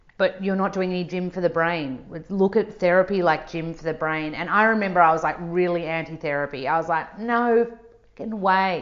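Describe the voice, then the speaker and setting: A woman with an Australian accent talks at a fairly quick pace in an animated tone, her pitch fairly low. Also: big swings in loudness. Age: 30s. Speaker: nutritionist, author and yoga teacher. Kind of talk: casual chat.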